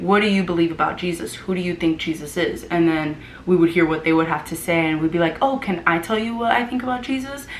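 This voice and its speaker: A woman in an American accent, lively in intonation and fairly quick in pace, with audible room echo and noticeable background noise. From Florida, US. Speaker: vlogger and former missionary. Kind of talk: casual chat.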